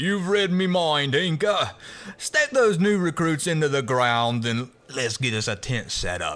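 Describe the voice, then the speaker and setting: A man puts on a gruff character voice at a fairly high pitch. He speaks at a fairly slow pace with very wide pitch swings. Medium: audio drama. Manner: gruff, bossy, cruel.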